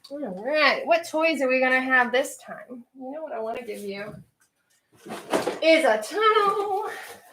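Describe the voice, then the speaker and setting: A woman with a high pitch speaks in an animated tone at a fairly slow pace, with long, frequent pauses. Her pitch swings very widely and her loudness varies a lot, with audible room echo. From Central Virginia, US South. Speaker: pet YouTuber. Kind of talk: livestream chat.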